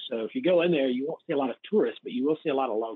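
In a Southern US accent, a man speaks with a fairly high pitch. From US South, north Mississippi near Memphis. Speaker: missionary and church planter coach. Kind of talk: interview.

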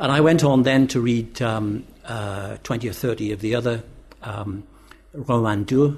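Somewhat breathy male voice, medium in pitch, with fairly even intonation and a fairly slow pace. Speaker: professor and author. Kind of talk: panel discussion.

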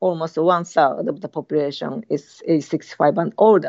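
A woman with a Japanese accent, fairly low in pitch, at a fairly slow pace. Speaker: university professor. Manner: halting, many fillers.

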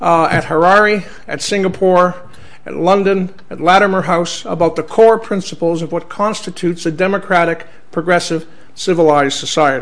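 A man with a Canadian accent and a high pitch speaks at a moderate pace with fairly even intonation, amid noticeable background noise and audible room echo. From Canada. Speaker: senator and special envoy giving a public talk. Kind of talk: lecture.

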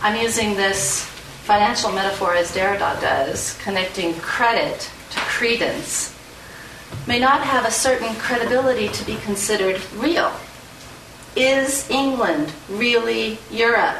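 Someone with an American accent talks at a fairly slow pace with ordinary pitch variation. Noticeable background noise and audible room echo fill the recording. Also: woman, fairly high pitch for a woman. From Southern California (San Fernando Valley). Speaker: professor. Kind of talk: lecture.

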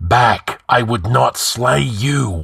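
Using a raspy put-on character voice, a man speaks at a medium pitch with lively intonation. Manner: strident, desperately urgent.

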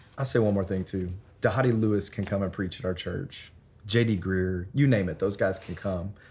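Audible room echo surrounds a man with a Memphis accent who speaks at a fairly quick pace, fairly low in pitch and somewhat breathy, with ordinary pitch variation. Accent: Southern US (Memphis). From Memphis, Tennessee. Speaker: church planter, pastor. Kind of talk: interview. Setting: on location at a conference.

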